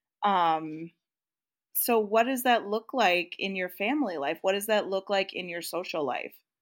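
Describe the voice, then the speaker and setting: In a very clean recording with a silent background, a woman with an American accent uses an ordinary speaking voice, medium in pitch, with lively intonation at a moderate pace. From US Midwest. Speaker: podcast co-host. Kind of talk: casual chat.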